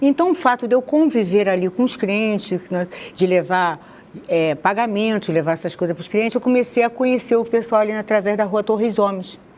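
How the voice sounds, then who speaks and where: A woman with a Rio de Janeiro accent at a moderate pace. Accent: carioca. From Rio de Janeiro, Brazil (Madureira). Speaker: conversion testimony guest. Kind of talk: testimony interview.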